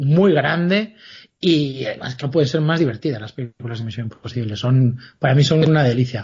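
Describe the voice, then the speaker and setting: In a normal speaking voice, the man keeps a moderate tempo. His intonation is lively and varied. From Galicia, Spain. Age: 40s. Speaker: author and comic writer. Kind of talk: interview, casual chat.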